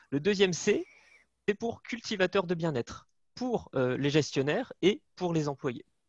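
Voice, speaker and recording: A speaker with a northern French accent uses lively intonation at a moderate pace. The sound is dry and close, with no echo. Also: man. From northern France. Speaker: management consultant. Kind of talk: webinar presentation. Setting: video call from home.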